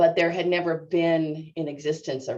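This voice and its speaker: In a dark, mellow tone, a woman speaks at a moderate pace with a very deep, low pitch. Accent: American. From US Northwest, Seattle suburbs. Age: 60s. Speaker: natural resource extension specialist. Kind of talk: interview. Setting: video call webinar. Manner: halting, many fillers.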